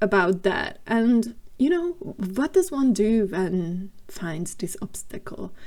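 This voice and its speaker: A woman with a non-native accent speaks at a very slow pace and medium pitch. Her tone is dark and mellow, with lively intonation. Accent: non-native English, noticeable. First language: not English. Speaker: gaming video creator. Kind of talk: voiceover narration of a game build. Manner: casual, with frequent fillers.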